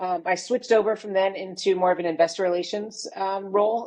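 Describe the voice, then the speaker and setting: At a fairly quick pace, a woman speaks with fairly even intonation and a dark, mellow tone. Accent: American. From United States. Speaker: retail consultant and entrepreneur. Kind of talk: podcast interview.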